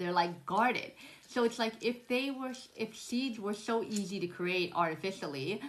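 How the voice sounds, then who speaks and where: A moderate pace and lively intonation over noticeable background noise. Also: woman, fairly high pitch for a woman. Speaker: spiritual vlogger. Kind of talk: casual monologue. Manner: stumbling, restarts words.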